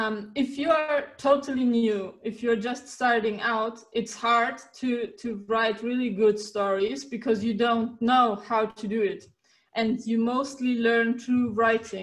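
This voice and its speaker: The pace is very slow, yet there are hardly any pauses. Intonation stays fairly even throughout. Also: woman, fairly high pitch for a woman. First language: German and Turkish. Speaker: writer and coach. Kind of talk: interview. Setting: video call.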